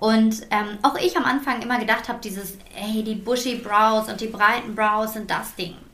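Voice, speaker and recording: Over noticeable background noise, a woman speaks in a fairly high, flat monotone at a moderate pace with hardly any pauses. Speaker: podcast host and beauty entrepreneur. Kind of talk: casual chat. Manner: shaky voice at emotional moment.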